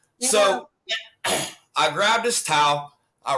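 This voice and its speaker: Over music in the background, a man with a Pittsburgh accent speaks with lively intonation. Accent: Pittsburgh American. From Pittsburgh, US. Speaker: guest. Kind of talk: casual chat, personal story.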